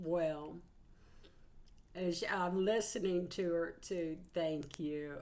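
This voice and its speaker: A woman with a Southern US accent, very slow and fairly even in intonation, with long, frequent pauses and audible room echo. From Georgia, US South. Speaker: psychic channeler, tarot reader. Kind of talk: casual spiritual channeling livestream talk.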